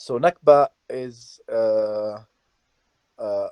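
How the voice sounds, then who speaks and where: A man's medium-pitched voice with an Arabic accent and ordinary pitch variation. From Palestine, Hebron. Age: 20s. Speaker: journalist and activist. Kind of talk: interview.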